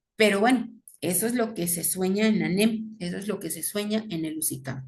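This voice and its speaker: A somewhat breathy woman speaks at a moderate pace with ordinary pitch variation and audible room echo. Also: medium pitch for a woman. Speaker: teacher. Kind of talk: lecture.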